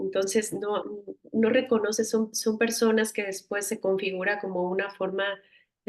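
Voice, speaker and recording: A woman speaks at a medium pitch and a moderate pace in a monotone, flat intonation. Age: 40s. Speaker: psychotherapist. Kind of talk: casual chat.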